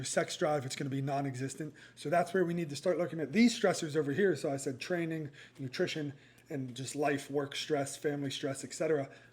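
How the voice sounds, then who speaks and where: A man speaks at a very fast pace with a fairly high pitch. His voice is somewhat breathy, with ordinary pitch variation. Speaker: running nutrition coach. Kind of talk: casual one-take tutorial. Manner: halting, with fillers and stumbles; casual, unscripted.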